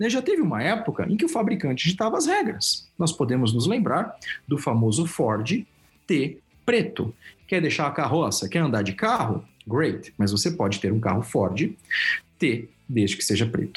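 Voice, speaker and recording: On a very clean recording with a silent background, a man speaks at a moderate pace and fairly high pitch with very wide pitch swings, vocal fry and very even loudness. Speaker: consultant and professor. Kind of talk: interview.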